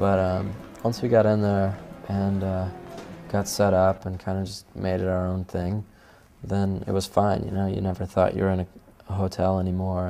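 Over music in the background, a man with a very deep, low pitch speaks in a monotone, flat intonation with long, frequent pauses. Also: moderate pace. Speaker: musician. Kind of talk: interview answer. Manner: soft-spoken.

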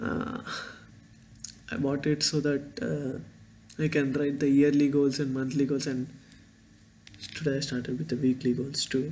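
Over light background noise, a man with an Indian accent talks at a moderate pace with fairly even intonation and long, frequent pauses. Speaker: vlogger and engineering student. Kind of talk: casual vlog monologue. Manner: halting, rambling. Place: home room. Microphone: webcam.

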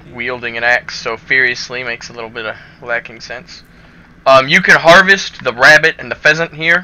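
A man speaks at a moderate pace and medium pitch, with ordinary pitch variation. His loudness swings widely over noticeable background noise. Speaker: gaming youtuber. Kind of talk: game tutorial commentary. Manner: casual with filler words.

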